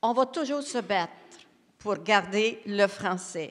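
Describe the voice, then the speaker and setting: A woman with a Quebec accent speaks very slowly at a medium pitch with ordinary pitch variation, on a very clean recording with a silent background. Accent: Québécois French. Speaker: education panelist. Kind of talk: round table discussion.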